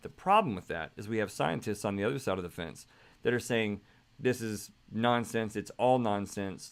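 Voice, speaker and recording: On a very clean recording with a silent background, a man with fairly low pitch speaks in an animated tone at a fairly quick pace. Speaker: podcast host. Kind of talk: monologue. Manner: fast.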